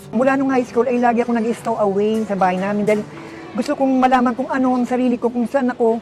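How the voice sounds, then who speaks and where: Music plays behind a woman who speaks very fast at a fairly high pitch with ordinary pitch variation. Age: 60s. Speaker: interviewee. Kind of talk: testimony.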